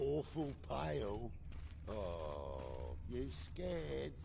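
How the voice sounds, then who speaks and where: A man uses a put-on character voice at a very slow pace. Loud background noise fills the recording. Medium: video game. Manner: sneering, confrontational.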